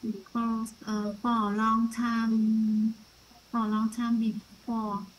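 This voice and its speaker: Through noticeable background noise, a woman with a Vietnamese accent speaks at a very slow pace in a fairly high pitch with monotone, flat intonation. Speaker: student. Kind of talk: class sharing. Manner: halting.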